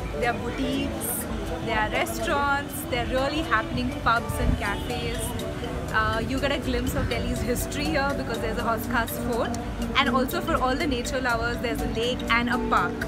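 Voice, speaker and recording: Loud music plays in the background. Over it, a woman talks at a moderate pace. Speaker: travel vlogger. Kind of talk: casual vlog chat. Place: street. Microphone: phone near.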